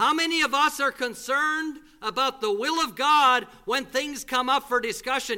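In a raised, projected voice, a man speaks at a moderate pace with an extremely high pitch and fairly even intonation. The tone is bright and sharp, and the recording is very clean with a silent background. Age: 40s. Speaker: visiting preacher. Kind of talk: sermon. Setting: church.

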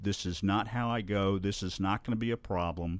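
Against a silent background in a very clean recording, a man with a Southern US accent speaks with fairly even intonation. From Alabama (Birmingham area). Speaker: guest sharing life story. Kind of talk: interview testimony. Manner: halting, many fillers.

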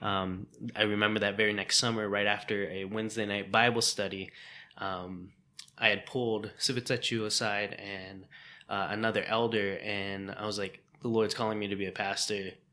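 A man speaks at a moderate pace in a fairly low voice with a bright, sharp tone. His intonation is monotone and flat. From US Midwest. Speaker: podcast co-host, divinity student.

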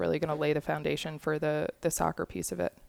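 A woman's very deep, low voice at a fairly quick pace, very clean and dry, recorded close with no echo against a silent background. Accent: American. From Long Island, New York. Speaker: college soccer coach. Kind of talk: interview.

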